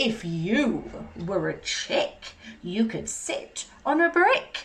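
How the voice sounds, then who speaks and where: A put-on character voice at a very slow pace. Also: female-sounding voice, high pitch for a woman. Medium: read story. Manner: smug.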